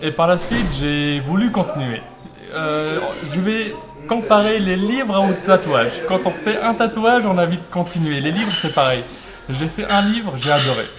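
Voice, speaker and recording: With audible room echo and noticeable background noise, a man speaks at a fairly slow pace in a high pitch with lively intonation. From France, Normandy (Rouen area). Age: 20s. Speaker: author and law student. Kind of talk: interview.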